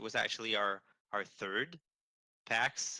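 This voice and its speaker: The voice has a bright, sharp tone and a dry, close sound with no echo. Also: man. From Quebec. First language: French. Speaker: game studio communications manager. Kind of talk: interview. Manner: halting with repetitions.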